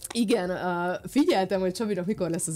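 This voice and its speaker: Talking at a fairly quick pace is a woman. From Romania, Satu Mare (Szatmárnémeti); Romania. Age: 30s. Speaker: physicist and influencer; interview guest. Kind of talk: casual chat; interview answer. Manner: halting. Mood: warm, reflective. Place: studio. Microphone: studio mic.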